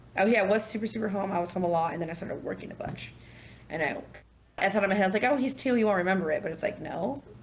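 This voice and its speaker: Talking at a very fast pace in an animated tone, a woman with an American accent uses a medium pitch and ordinary pitch variation, with audible room echo around her. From California. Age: 30s. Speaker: single mother and bartender. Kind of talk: casual interview.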